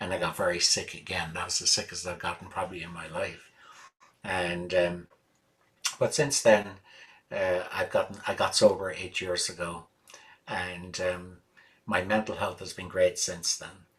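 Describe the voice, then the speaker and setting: A man with an Irish accent, very deep, low pitch, monotone, flat intonation and a moderate pace. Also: big swings in loudness. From Ireland. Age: 60s. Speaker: musician. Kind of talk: interview. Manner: hesitant, many fillers.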